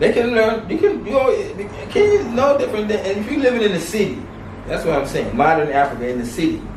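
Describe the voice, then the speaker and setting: The voice rises and falls in a lively way, with audible room echo and noticeable background noise around it. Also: man. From US West Coast, Los Angeles. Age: 60s. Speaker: martial arts teacher, expat. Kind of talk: interview. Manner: halting.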